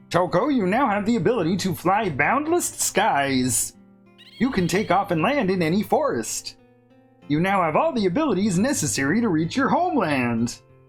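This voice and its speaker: A put-on character voice, croaky and at a middle pitch, moves through very wide pitch swings. Faint music plays in the background. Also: moderate pace. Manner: majestic.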